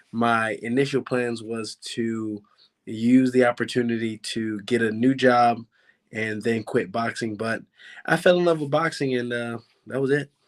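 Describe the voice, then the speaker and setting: A man with a Baltimore accent speaks at a fairly slow pace in a medium pitch, his intonation fairly even. The recording is very clean, with a silent background. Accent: Baltimore American. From Baltimore, Maryland, US. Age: 20s. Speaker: professional boxer. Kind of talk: interview.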